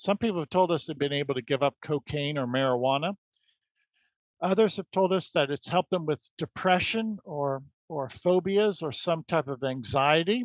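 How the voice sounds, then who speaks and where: A man talks at a fairly high pitch and a moderate pace with ordinary pitch variation. The sound is dry and close with no echo, over a quiet background. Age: 60s. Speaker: wellness entrepreneur, founder of energy healing company. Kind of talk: podcast interview. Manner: halting, frequent repetitions.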